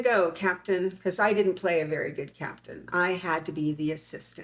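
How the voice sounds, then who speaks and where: Here is a woman with an ordinary speaking voice and an American accent. She talks at a moderate pace and medium pitch with ordinary pitch variation. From US West (California desert). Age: 60s. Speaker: interviewee, claimed alien hybrid. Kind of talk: interview, personal story.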